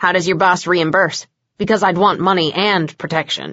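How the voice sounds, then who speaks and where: A woman growls in a put-on character voice at medium pitch and a moderate pace. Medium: read story. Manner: blunt, sarcastic.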